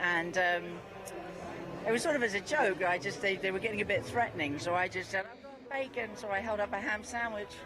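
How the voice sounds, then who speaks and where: The speaker moves at a fairly quick pace, with ordinary pitch variation and noticeable background noise behind the voice. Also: woman, medium pitch for a woman. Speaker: political activist. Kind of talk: interview.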